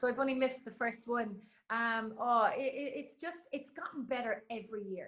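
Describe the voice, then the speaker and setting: With an Irish accent, a woman speaks in a high pitch at a moderate pace. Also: ordinary pitch variation. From Ireland. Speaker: sports announcer. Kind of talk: interview answer.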